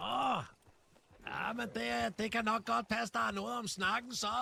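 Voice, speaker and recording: A man's put-on character voice, gruff and raised, projected, high in pitch with very wide pitch swings. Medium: machinima. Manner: gruff, swearing.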